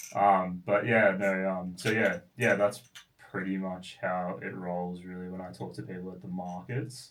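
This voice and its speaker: The voice carries an Australian accent with ordinary pitch variation and big swings in loudness. Room echo is audible. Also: man. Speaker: product designer and founder. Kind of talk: interview. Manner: fast; halting with fillers.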